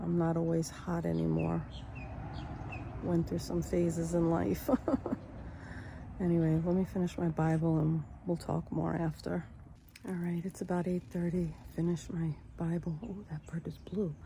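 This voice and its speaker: Moderate pace broken by long, frequent pauses. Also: woman. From New York. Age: 60s. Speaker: vlogger. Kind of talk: casual vlog monologue.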